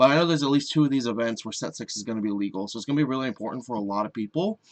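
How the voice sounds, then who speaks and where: Talking very fast, a man swings widely in loudness. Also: medium pitch for a man, ordinary pitch variation. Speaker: card game content creator. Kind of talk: casual video commentary.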